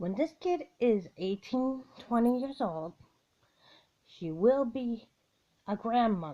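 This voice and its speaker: Her dark, mellow voice sits fairly high in pitch, and the woman moves through very wide pitch swings at a very slow pace with long, frequent pauses. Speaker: vlogger. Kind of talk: opinion vlog. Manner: halting.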